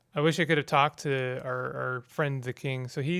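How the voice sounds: The recording features a natural reading voice.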